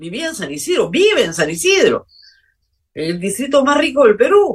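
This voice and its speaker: A woman is speaking. Her pitch swings very widely. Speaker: political talk show host. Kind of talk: political commentary monologue.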